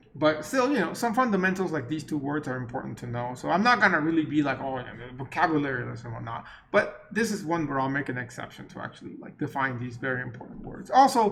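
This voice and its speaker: A man with a non-native accent talks at a very fast pace, his fairly high voice full of lively intonation and big swings in loudness. Audible room echo surrounds him. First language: not English. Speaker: university lecturer. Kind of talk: lecture. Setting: recorded online class meeting. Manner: casual, conversational.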